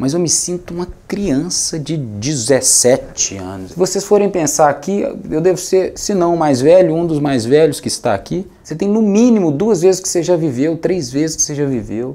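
This man's voice sits fairly high and has a dark, mellow tone. His intonation is lively. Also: moderate pace. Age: 30s. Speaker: music producer; speaker. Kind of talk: talk to an audience. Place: studio. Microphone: lapel.

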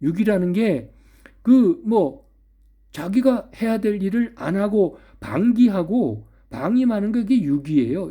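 A man speaks very slowly at a high pitch, with very wide pitch swings and a dark, mellow tone. The recording is very clean with a silent background. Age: old. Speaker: philosophy YouTuber. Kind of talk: solo monologue lecture. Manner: conversational, hesitant fillers.

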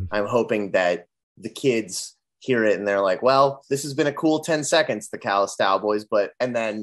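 Moderate-paced speech from a man, quiet background behind him. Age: 20s. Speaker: musician in a band; guest. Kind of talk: casual interview. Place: home room. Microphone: video call.

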